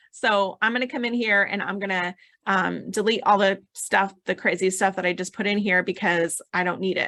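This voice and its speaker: A woman speaks at a medium pitch with a bright, sharp tone, her voice dry and close with no echo. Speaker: software demo presenter, entrepreneur coach. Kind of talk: screen-share tutorial. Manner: casual, filler-heavy (um, like).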